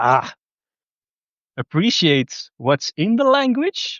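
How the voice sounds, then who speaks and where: Spoken at a very slow pace in a Flemish accent, the voice swings very widely in pitch. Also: man. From Belgium (Flanders). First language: Dutch (Flemish). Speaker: spiritual vlogger. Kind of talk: casual monologue. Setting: outdoors in a public park. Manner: relaxed, free-form with hesitations.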